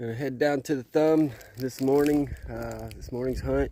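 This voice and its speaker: A man in a normal speaking voice, with ordinary pitch variation and a fairly slow pace. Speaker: hunting vlogger. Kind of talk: outdoor vlog narration. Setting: outdoors.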